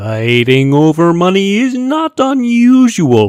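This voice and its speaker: Someone uses a put-on character voice at a middle pitch, moving at a fairly slow pace with very wide pitch swings. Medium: read story. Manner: formal, precise.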